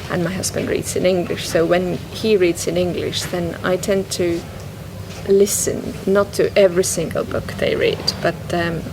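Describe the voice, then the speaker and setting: A woman speaks with an Estonian accent. Noticeable background noise runs underneath. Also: moderate pace. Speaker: guest on poetry podcast. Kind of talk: casual interview conversation. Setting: public bookshop event. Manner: halting.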